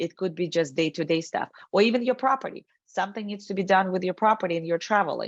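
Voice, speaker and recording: A woman with a non-native accent speaks at a very fast pace in a medium pitch with ordinary variation, recorded with a dry, close sound and no echo. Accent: foreign accent, noticeable. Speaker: estate planning expert. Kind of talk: webinar presentation. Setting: video call.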